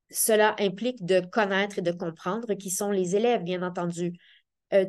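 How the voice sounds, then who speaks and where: At a moderate pace, a woman of medium pitch speaks with a Quebec accent against a quiet background. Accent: Québécois French. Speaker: professor of education. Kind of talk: seminar talk. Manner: hesitant, many fillers.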